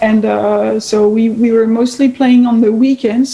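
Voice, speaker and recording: A woman's fairly high, monotone, flat voice in a French accent at a very slow pace, with noticeable background noise. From France. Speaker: guitarist. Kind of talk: interview. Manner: halting.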